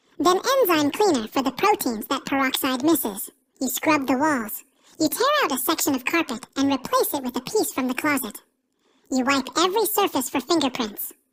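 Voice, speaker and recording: A woman with a high pitch talks at a moderate pace using lively intonation. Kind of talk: dark POV crime narration. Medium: solo performance. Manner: terse, clipped sentences; measured and ominous.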